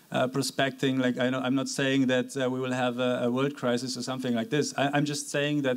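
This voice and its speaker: A man speaks at a fairly quick pace with hardly any pauses. His loudness stays very even and his intonation is monotone and flat. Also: medium pitch for a man. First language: not English. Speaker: panelist at fintech conference. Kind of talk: panel discussion. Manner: halting, many fillers.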